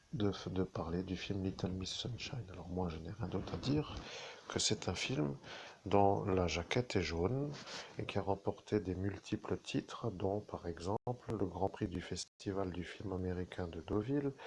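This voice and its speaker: This man's voice is very deep and low, and somewhat breathy. He speaks at a fairly slow pace. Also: ordinary pitch variation. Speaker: self-styled medium. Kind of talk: live monologue to viewers. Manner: soft-spoken, slow; halting, restarting sentences.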